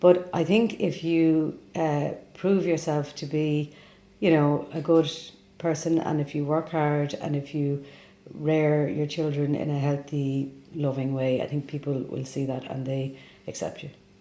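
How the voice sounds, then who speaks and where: A woman's very deep, low, dark and mellow voice with a Dublin accent, fairly even intonation and a fairly slow pace. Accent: Dublin Irish. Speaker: immigrant interviewee. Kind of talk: interview testimony.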